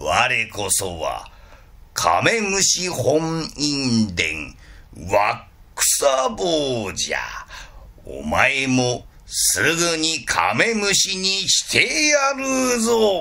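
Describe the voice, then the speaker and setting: A man puts on a character voice, pitched high and delivered at a very slow pace. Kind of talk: picture-book storytelling in kodan style. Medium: read story.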